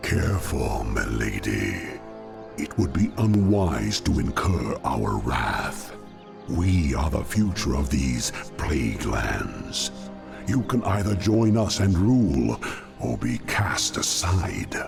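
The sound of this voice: In a put-on character voice, a man speaks slowly at an extremely low pitch with vocal fry and big pitch swings, as faint music plays in the background.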